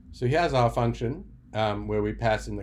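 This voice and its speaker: This is a man speaking with a South African accent. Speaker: software developer. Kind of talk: tutorial. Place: home room. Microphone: webcam.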